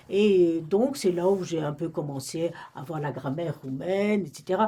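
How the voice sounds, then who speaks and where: Noticeable background noise sits behind a woman with a fairly low voice. She speaks at a fairly slow pace with lively intonation and big swings in loudness. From Romania, French-speaking family. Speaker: retired librarian. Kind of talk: oral history interview. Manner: halting, many hesitations.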